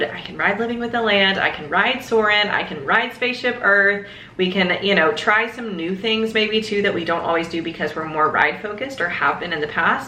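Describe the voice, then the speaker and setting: There is audible room echo and noticeable background noise as a woman speaks at a medium pitch with ordinary pitch variation. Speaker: lifestyle vlogger. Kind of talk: casual vlog update. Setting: home office. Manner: fast; animated, lots of filler.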